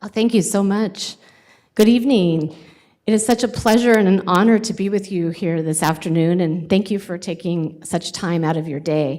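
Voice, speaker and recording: With an American accent, this woman talks at a moderate pace in a medium pitch with ordinary pitch variation and a dark, mellow tone, recorded very cleanly against a silent background. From California (Sacramento). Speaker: college president. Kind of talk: job interview presentation. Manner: hesitant, many fillers.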